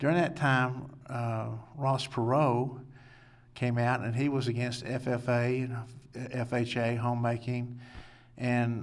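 Audible room echo surrounds a man speaking with a West Texas accent. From Lubbock, West Texas. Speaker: political candidate. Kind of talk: interview.

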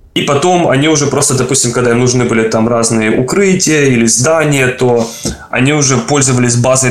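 A man's very fast speech at medium pitch, with fairly even intonation over noticeable background noise. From Ukraine. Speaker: game environment artist. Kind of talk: casual interview. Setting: video call. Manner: halting.

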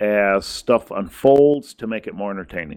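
An ordinary speaking voice, a man talks at a moderate pace with ordinary pitch variation. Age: 40s. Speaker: podcast host. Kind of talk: casual chat.

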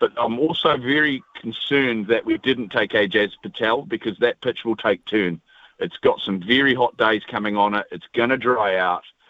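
With a New Zealand accent, a man speaks at a moderate pace and medium pitch, with hardly any pauses. His pitch variation is ordinary. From New Zealand, Taranaki. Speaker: radio caller, cricket fan. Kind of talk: casual chat. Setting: phone call.

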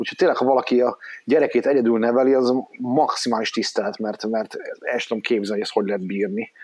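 A man talks at a very fast pace in a medium pitch. His intonation is fairly even. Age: 40s. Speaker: father, teacher and writer. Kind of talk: casual chat.

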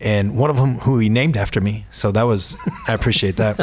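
Moderate pace from a man, with noticeable background noise behind. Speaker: sports columnist. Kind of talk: casual sports discussion.

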